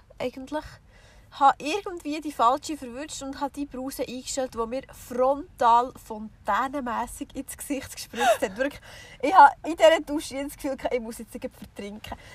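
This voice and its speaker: With a Swiss accent, a high-pitched woman speaks in big swings of loudness. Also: ordinary pitch variation, moderate pace. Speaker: podcast co-host. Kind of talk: casual chat. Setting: in a camper van with the rear hatch open.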